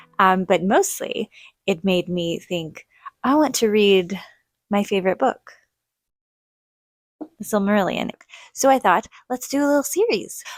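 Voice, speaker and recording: Quiet and at medium pitch, a woman speaks at a fairly slow pace with lively intonation and long, frequent pauses, in a dry, close sound with no echo. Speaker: book reviewer. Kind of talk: casual chat.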